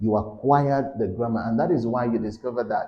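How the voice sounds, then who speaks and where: With a Yoruba accent, a man of medium pitch speaks with ordinary pitch variation amid audible room echo. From Nigeria, Yoruba. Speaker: English tutor. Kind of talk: lecture. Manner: halting.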